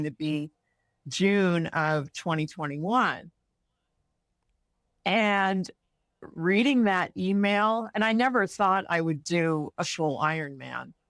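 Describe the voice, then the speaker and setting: The recording is dry and close, with no echo. A woman talks at a fairly slow pace. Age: 60s. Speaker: Ironman triathlete. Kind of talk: interview. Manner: halting.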